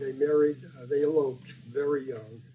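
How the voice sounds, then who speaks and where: A man with an American accent, fairly slow and monotone with flat intonation, in audible room echo. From US Midwest, Detroit, Michigan. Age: 80s+. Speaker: interviewee recounting his life. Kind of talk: oral history interview. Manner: halting, many fillers and repetitions.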